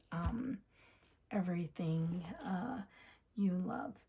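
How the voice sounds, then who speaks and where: A soft-spoken woman with a medium-pitched, somewhat breathy voice and a dark, mellow tone. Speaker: planner youtuber. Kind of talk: casual chat. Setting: home at night.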